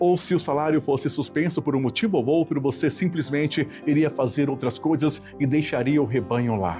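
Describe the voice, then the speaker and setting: Male voice, fairly high in pitch, with lively intonation and very even loudness over music in the background. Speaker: preacher / devotional speaker. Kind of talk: sermon reflection on the radio. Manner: earnest, zealous.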